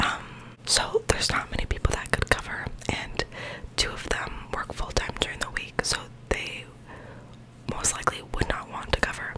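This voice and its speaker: Whispering and soft-spoken, the speaker leaves long, frequent pauses over loud background noise. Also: woman, moderate pace. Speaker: vlogger. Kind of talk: casual vlog chat. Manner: soft close-mic whisper, chatty. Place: home room. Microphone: studio mic.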